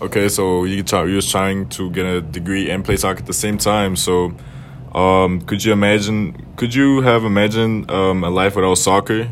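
Noticeable background noise runs under the recording. A man speaks with a fairly low pitch. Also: ordinary pitch variation, moderate pace. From Germany. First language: German. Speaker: college student interviewer. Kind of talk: casual interview. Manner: casual, slangy.

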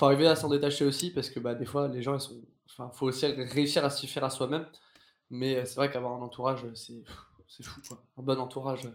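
A man talks at a fairly quick pace with a medium pitch. His intonation is monotone and flat, with big swings in loudness. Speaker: theatre performer. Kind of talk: casual chat. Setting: live stream.

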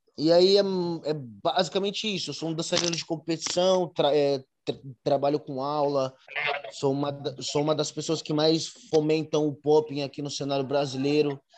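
The speaker uses fairly even intonation at a moderate pace. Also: man, fairly high pitch for a man. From São Paulo, Brazil. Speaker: urban dancer and dance teacher. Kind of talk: interview. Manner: halting, with many repeated words and fillers.

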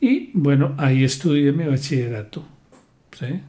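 A man speaks at a very slow pace with a fairly high pitch and ordinary pitch variation. His tone is dark and mellow, and somewhat breathy. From Colombia, southern Huila (San Agustín). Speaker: lawyer. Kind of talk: interview.

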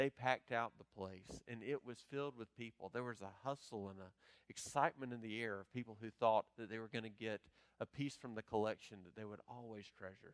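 In an unremarkable speaking voice, a man talks fairly quickly at a medium pitch with fairly even intonation. His loudness swings widely, and the sound is dry and close with no echo. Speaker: pastor. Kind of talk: sermon. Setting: church.

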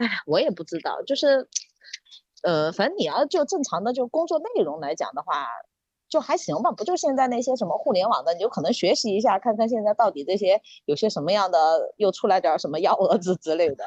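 At a fairly quick pace, a woman speaks at a fairly high pitch that makes very wide swings. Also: dry, close sound with no echo. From Sichuan. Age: middle-aged. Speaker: podcast guest. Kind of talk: casual chat.

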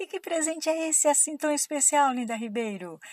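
A woman with a Brazilian accent sounds animated and playful. The recording is very clean and dry, close with no echo and a silent background. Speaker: radio host. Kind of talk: radio promo patter, bubbly giveaway announcement. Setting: radio studio.

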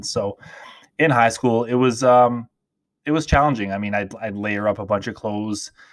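A man with a plain, everyday voice and fairly even intonation, in a very clean recording over a silent background. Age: 30s. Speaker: fitness coach and podcast host. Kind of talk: casual monologue.

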